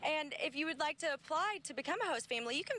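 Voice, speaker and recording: Over noticeable background noise, a woman speaks at a very fast pace in a raised, projected voice. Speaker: TV news reporter. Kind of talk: TV news reporting and on-air reel.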